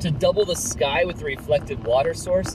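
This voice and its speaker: A man at a very fast pace, with noticeable background noise and a dry sound with no echo. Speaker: photographer vlogger. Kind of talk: casual vlog chat. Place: car. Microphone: camera far.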